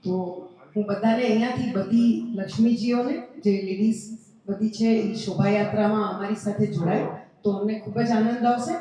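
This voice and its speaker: Noticeable background noise sits under a woman with a Gujarati accent. Her pitch is fairly high and her intonation fairly even. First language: Gujarati (speaking Hindi). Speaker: event organizer. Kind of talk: public appeal.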